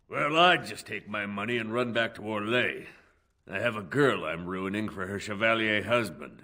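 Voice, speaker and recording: A man's put-on character voice at a fairly low pitch and moderate pace, on a very clean recording with a silent background. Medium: video game. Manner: dry, sardonic.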